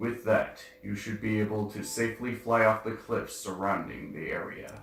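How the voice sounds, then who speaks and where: A man speaks at medium pitch in a put-on character voice, with a slight echo. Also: moderate pace. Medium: game stream.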